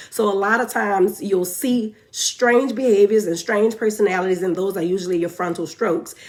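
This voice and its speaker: A woman talks at a fairly quick pace and a medium pitch, with ordinary pitch variation. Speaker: nurse educator. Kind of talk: live teaching stream. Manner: fast.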